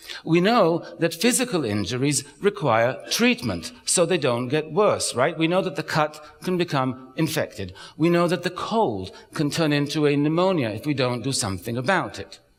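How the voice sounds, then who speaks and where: Over noticeable background noise, a man talks at a moderate pace. His fairly high voice moves in very wide pitch swings. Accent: slight British. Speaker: psychologist and author giving a talk. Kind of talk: public talk.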